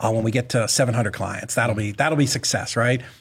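Somewhat breathy, a man talks at a very fast pace on a very clean recording with a silent background. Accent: American. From Boston, US. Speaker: real estate investor and business owner. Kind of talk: casual interview.

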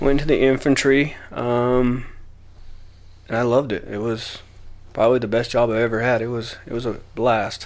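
A man with an American accent speaks at a moderate pace in a flat monotone, leaving long, frequent pauses, with audible room echo. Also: medium pitch for a man. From Utah, Salt Lake City. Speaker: recovery center staff, military veteran. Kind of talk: interview.

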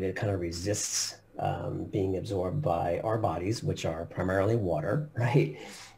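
With an American accent, a man talks at a moderate pace and a fairly low pitch, his intonation lively. Music plays in the background, and room echo is audible. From US Northeast, Long Island, New York. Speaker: company CEO. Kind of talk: interview.

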